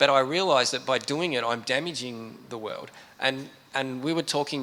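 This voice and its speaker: A man speaks at a moderate pace with an Australian accent, his medium pitch held in a fairly even intonation. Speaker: computer science professor. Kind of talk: panel discussion. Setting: stage with audience.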